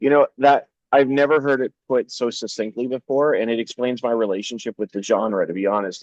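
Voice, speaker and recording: The speech moves at a moderate pace. There are hardly any pauses. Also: man. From Canada, Toronto. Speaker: interviewer. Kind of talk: casual interview.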